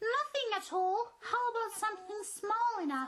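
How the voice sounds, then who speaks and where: A squeaky, extremely high put-on character voice speaks at a moderate pace. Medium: comedy sketch. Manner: condescending, taunting.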